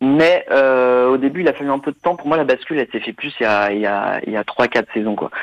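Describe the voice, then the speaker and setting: A man speaks in an unremarkable speaking voice at a medium pitch. He keeps a moderate pace with ordinary pitch variation and hardly any pauses. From France, Nantes. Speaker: football expert on German football. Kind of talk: casual chat.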